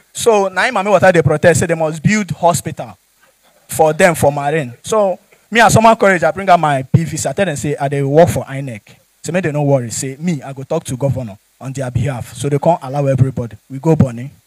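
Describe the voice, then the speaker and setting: A man at a very fast pace, lively intonation and big swings in loudness, dry sound with no echo against a quiet background. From Nigeria. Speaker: stand-up comedian. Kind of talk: stand-up comedy with Nigerian Pidgin storytelling. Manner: animated, jokey, laughs at own punchlines; conversational, addresses audience directly. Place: stage. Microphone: handheld.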